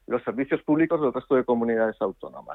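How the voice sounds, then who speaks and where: A man with a normal speaking voice at a medium pitch. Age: 50s. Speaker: politician. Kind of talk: radio interview.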